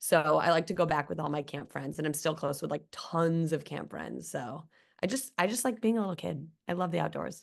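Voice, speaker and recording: Against a quiet background, a woman with a slight Midwestern accent talks in a very deep, low pitch with vocal fry and lively intonation. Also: fairly quick pace. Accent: slight Midwestern twang. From US Midwest, Chicago. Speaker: guest. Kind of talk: casual chat.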